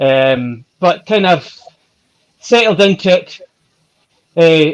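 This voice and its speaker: Here a man speaks with a slight Scottish accent. His pitch is high, with ordinary variation. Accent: Scottish, mild. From Scotland, West Coast. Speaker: ultra-distance cyclist. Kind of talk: interview.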